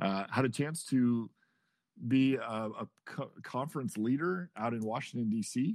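A man talks with an American accent and ordinary pitch variation. The recording is very clean, with a silent background. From Nebraska. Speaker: corporate learning and development leader. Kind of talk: interview. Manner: halting.

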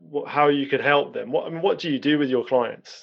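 Lively intonation and a fairly high pitch mark this man's delivery, a normal speaking voice. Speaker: podcast host. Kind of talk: interview conversation.

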